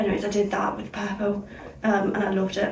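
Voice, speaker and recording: Speaking at a fairly quick pace, a woman has a fairly high pitch and a northern English accent. Room echo is audible, along with noticeable background noise. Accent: sounds northern English today. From Somerset, south-west England. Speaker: beauty vlogger. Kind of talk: casual chat. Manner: energetic, fast chatter; speaking clearly.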